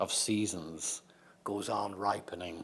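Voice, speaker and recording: In an Irish accent, a man talks at a very slow pace. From Ireland. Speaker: poet. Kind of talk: poetry reading.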